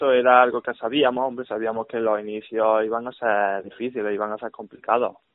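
Fairly quick and with hardly any pauses, a man talks at medium pitch in a monotone, flat intonation. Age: 20s. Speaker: futsal player. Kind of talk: radio interview.

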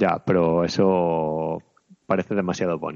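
Spoken in a northern Spanish accent, the voice keeps a monotone, flat intonation. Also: man. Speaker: video game podcast co-host. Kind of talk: casual chat.

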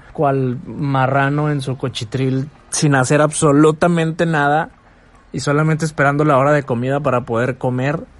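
A man speaks at a moderate pace and fairly high pitch. His pitch variation is ordinary. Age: 20s. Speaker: podcaster. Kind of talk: motivational monologue. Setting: bedroom at night.

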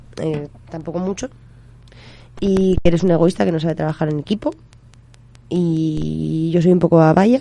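At a moderate pace, a woman with a fairly low pitch speaks with long, frequent pauses. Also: ordinary pitch variation. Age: 20s. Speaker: community radio host. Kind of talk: casual banter on radio.

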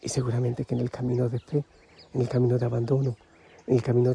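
A man speaks at a very fast pace, with noticeable background noise present. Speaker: religious preacher, spiritual leader. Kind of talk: devotional reflection. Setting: outdoors in the mountains. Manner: calm, gentle.

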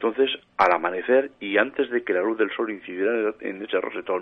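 Here a man speaks in a normal speaking voice with fairly low pitch. His pace is moderate. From Spain, Matarraña, Teruel (Aragon). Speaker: paranormal researcher and author. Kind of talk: radio interview.

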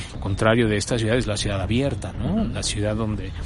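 The voice is heard with audible room echo. Noticeable background noise is also present. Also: man. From Mexico City. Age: 50s. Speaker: architect. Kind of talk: interview. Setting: outdoors on a university campus. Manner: hesitant, many fillers.

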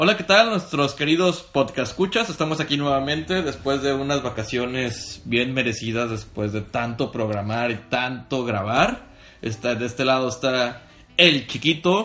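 With a plain, everyday voice, a man speaks at a medium pitch and a fairly slow pace, his intonation lively. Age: 20s. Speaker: podcast co-host. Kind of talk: casual chat.

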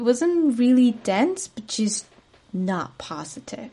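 A woman speaks in a dark, mellow tone. Her voice is somewhat breathy. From Spain, Madrid. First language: Spanish. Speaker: podcast host, spiritual coach. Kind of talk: solo monologue podcast.

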